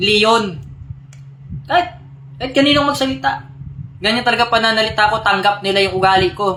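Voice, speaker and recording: Over noticeable background noise, a man uses a raised, projected, shrill voice at a high pitch, talking at a fairly quick pace with lively intonation. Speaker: religious group leader on live stream. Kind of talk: live stream address to followers. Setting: live stream. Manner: animated, combative.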